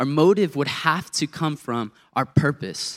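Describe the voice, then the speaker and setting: This is a man with a fairly high pitch and an unremarkable speaking voice, talking at a moderate pace. The recording is very clean and dry, close with no echo and a silent background. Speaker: youth intern. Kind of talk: sermon. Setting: church.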